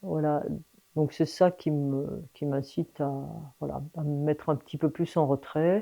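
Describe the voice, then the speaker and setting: With long, frequent pauses, a woman speaks in a very deep, low voice of dark, mellow tone and fairly even intonation. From France, Lyon suburbs. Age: 60s. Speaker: mountain guide, former teacher. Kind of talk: interview conversation. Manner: hesitant, many fillers.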